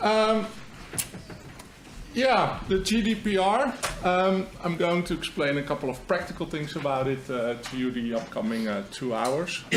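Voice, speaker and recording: A man with a Dutch accent speaks at a high pitch with very wide pitch swings and a fairly slow pace. Noticeable background noise and audible room echo surround him. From Netherlands. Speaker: marketing agency founder. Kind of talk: seminar presentation.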